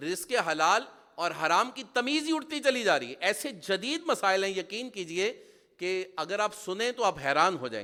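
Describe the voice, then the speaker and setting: This man's raised, projected voice sits high in pitch with very wide swings. His tone is bright and sharp. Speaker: Islamic preacher. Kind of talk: sermon. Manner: animated.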